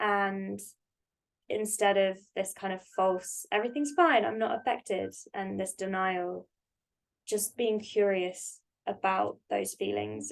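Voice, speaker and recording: In a British accent, a woman speaks at a very slow pace with long, frequent pauses. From UK. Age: 20s. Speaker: podcast guest, therapist. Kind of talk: casual chat.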